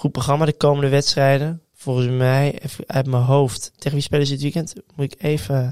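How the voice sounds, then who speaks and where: A man's fairly high-pitched voice with monotone, flat intonation at a moderate pace, in a dry, close sound with no echo. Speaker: football podcast co-host. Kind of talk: casual chat. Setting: studio.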